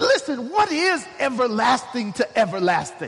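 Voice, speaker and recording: An animated tone in an American accent at a moderate pace, with noticeable background noise. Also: man. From Oklahoma. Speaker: guest pastor. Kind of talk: sermon. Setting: church. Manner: animated, emphatic preaching.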